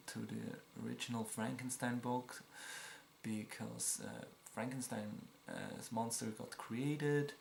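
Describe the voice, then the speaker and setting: Words come out very slowly. There is noticeable noise in the background. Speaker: movie reviewer. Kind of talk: casual film review. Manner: casual with filler words.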